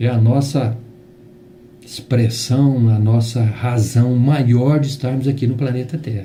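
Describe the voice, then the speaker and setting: The speech shows ordinary pitch variation, heard with audible room echo. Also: man. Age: 60s. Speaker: spiritist lecturer. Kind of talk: religious talk. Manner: halting.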